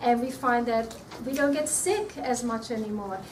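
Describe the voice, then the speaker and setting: A woman talks in a high pitch with ordinary pitch variation. Noticeable background noise and audible room echo fill the recording. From Australia. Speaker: nutrition speaker. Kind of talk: talk to an audience. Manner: hesitant, repeats words.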